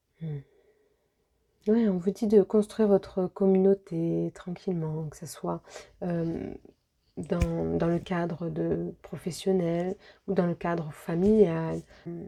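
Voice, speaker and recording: Soft-spoken and very slow, a woman with a fairly low voice talks with fairly even intonation, long, frequent pauses, and big swings in loudness, in a dry, close sound with no echo. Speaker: medium and energy healer doing card readings. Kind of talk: tarot-style guidance reading. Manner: hesitant, many fillers.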